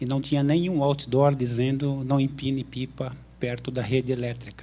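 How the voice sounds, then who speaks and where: This man's voice sits at medium pitch with a dark, mellow tone. His intonation stays monotone and flat. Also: moderate pace. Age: 50s. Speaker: graduate student, audience questioner. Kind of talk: audience question with personal anecdote.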